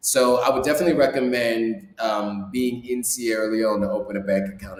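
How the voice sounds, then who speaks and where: Through noticeable background noise, a man talks in an American accent. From US. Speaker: YouTuber and vlogger. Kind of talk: live stream Q&A. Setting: live stream. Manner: casual, with many fillers.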